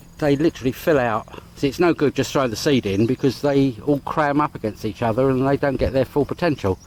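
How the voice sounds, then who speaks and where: Medium-pitched male voice with an English accent, at a fairly quick pace with ordinary pitch variation. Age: 60s. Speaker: vlogger. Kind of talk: casual vlog narration. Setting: outdoors. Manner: rambling, hesitant.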